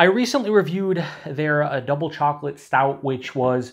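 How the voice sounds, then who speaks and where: With ordinary pitch variation, a man's voice sits over a quiet background. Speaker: beer reviewer. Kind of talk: casual review chat. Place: home room.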